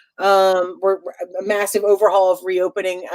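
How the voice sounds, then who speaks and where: In a dry, close sound with no echo, a woman with a Chicago accent talks at a fairly quick pace. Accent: Chicago accent, getting stronger. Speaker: game show host and theater owner. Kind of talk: live-streamed game show banter. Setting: live stream. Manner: animated.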